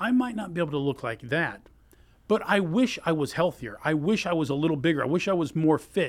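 Fairly high in pitch, a man's voice moves at a fairly quick pace with lively intonation. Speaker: guest interviewer. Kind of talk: casual interview chat. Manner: animated.

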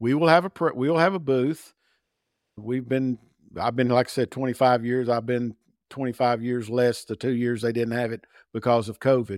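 An unremarkable speaking voice comes at a moderate pace, in a very clean recording with a silent background and a dry, close sound with no echo. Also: man, medium pitch for a man, ordinary pitch variation. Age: 60s. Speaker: sales director. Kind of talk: interview.

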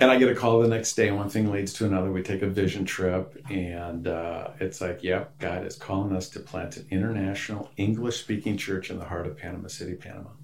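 With an American accent and a normal speaking voice, a man talks at a fairly quick pace in a fairly low pitch, with fairly even intonation, big swings in loudness and hardly any pauses. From rural Wisconsin, US Midwest. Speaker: pastor and church planter. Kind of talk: interview.

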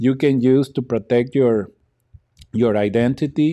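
A man with a Spanish accent, medium in pitch, dark and mellow in tone, at a moderate pace. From Mexico. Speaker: YouTuber. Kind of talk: casual vlog talk to camera. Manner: hesitant, many fillers and repeats.

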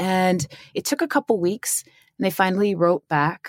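With an American accent, a woman speaks in a plain, everyday voice at a fairly slow pace, with ordinary pitch variation and a dry, close sound with no echo. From Staten Island, New York, US. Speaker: cannabis entrepreneur and author. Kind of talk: casual chat.

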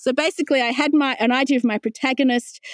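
With an Australian accent, a woman speaks at a fairly quick pace in a dry, close sound with no echo. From Australia, Wollongong. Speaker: novelist. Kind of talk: interview. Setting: home office.

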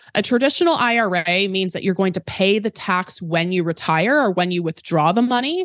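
Using an ordinary speaking voice, a woman at medium pitch talks at a fairly quick pace with lively intonation, the sound dry and close with no echo. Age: 20s. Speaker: personal finance educator and author. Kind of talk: interview.

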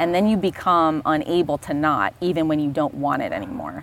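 Speaking at a moderate pace with an American accent, a woman uses lively intonation and vocal fry in a very deep, low voice. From Florida, US South. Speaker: neurophysiologist. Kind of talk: casual interview conversation. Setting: outdoors by a fire pit.

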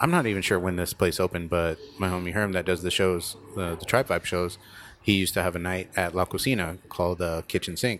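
With an American accent, a man speaks at a very fast pace in a very deep, low pitch and fairly even intonation. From Tucson, Arizona. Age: 30s. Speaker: podcast host. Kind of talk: casual chat. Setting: studio.

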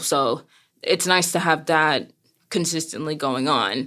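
In a very clean recording with a silent background, a woman with an American accent speaks at a fairly low pitch in a bright, sharp tone. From US, Brooklyn, New York. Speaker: seamstress and retail worker. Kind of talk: interview. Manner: loud.

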